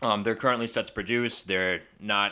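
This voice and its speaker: On a very clean recording with a silent background, a man with a Long Island accent speaks at a fairly quick pace. His fairly low voice has a bright, sharp tone and fairly even intonation. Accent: Long Island New York. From Long Island, New York. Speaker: film review vlogger. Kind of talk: casual review monologue.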